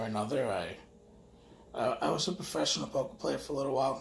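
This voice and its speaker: Someone speaks with a New York accent in a recording with audible room echo and noticeable background noise. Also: man. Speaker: vlogger. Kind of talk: casual monologue. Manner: halting.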